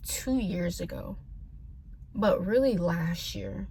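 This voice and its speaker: A woman speaks with an American accent. Audible room echo is present. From California and Tennessee, US. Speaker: vlogger. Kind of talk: casual vent vlog.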